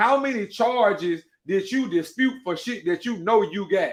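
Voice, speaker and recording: A man with lively intonation, an animated tone and a moderate pace. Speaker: podcast host and cake baker. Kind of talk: casual livestream monologue. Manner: loud.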